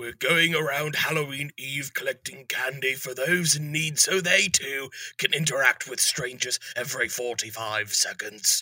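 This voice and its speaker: Using a put-on character voice, a man sounds raspy, with fairly high pitch, a moderate pace and hardly any pauses. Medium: audio drama. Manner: formal, polite.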